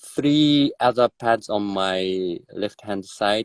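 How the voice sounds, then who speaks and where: A man's fairly low voice with a Japanese accent at a very slow pace, in a dry, close sound with no echo. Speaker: drummer. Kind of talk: interview. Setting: live video stream. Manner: halting.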